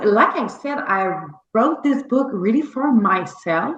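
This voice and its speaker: This woman speaks in a fairly high pitch with a Quebec accent. She goes very slowly, and her pitch swings very widely. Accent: French Canadian accent in English. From Quebec, Canada. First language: French. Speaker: novelist. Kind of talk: interview. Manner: halting.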